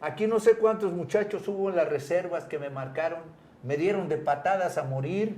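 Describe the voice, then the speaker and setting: A man's high-pitched, animated voice at a moderate pace, with ordinary pitch variation. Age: 70s. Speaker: retired footballer. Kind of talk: interview.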